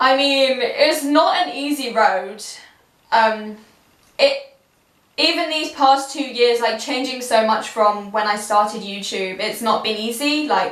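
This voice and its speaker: The speaker is loud. The pace is fairly slow. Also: woman, high pitch for a woman, ordinary pitch variation. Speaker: YouTuber. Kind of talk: casual vlog talk to camera. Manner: animated.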